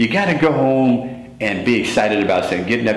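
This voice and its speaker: Noticeable background noise and audible room echo surround a man talking at a very fast pace. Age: 60s. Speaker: former track athlete. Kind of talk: interview. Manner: halting.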